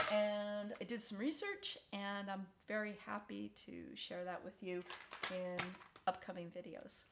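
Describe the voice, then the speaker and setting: A woman speaking at a fairly slow pace, with big swings in loudness, long and frequent pauses, and noticeable background noise. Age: 60s. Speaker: video diarist, stomach cancer survivor. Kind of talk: casual personal vlog. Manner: conversational with frequent fillers and repetitions.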